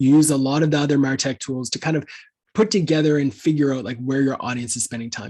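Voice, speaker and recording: A man with a slight Canadian accent, medium pitch and ordinary pitch variation. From Canada. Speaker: content marketing agency founder. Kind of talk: webinar Q&A.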